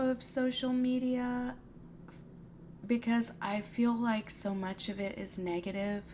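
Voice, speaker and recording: Her fairly high-pitched voice shows ordinary pitch variation as this woman speaks. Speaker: podcast host. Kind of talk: casual podcast monologue. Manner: halting, many ums.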